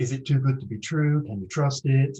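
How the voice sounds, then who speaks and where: Somewhat breathy and dark, mellow in tone, a man speaks at a fairly quick pace and a medium pitch. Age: 60s. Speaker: psychotherapist giving a talk. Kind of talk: online presentation.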